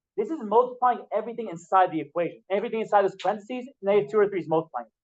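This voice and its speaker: A man talks at a very fast pace with a high pitch. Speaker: math teacher. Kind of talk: classroom lecture. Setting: classroom with students. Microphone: laptop mic.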